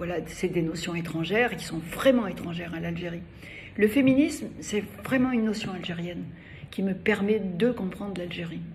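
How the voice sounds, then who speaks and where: A woman of medium pitch at a moderate pace, with ordinary pitch variation, big swings in loudness, audible room echo and noticeable background noise. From Algeria (Algiers). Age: 80s+. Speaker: feminist activist and cultural figure. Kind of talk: interview. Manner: halting, many hesitations.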